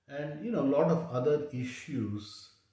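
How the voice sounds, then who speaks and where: The man's tone is dark and mellow. He sounds somewhat breathy. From South India (Chennai). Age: 60s. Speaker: diabetes health vlogger. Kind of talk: personal testimony. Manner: halting, many fillers.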